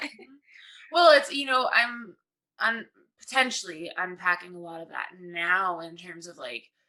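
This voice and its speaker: Her tone is bright and sharp, with lively intonation. This woman speaks at a medium pitch and a moderate pace. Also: big swings in loudness. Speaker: podcast host. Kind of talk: casual chat.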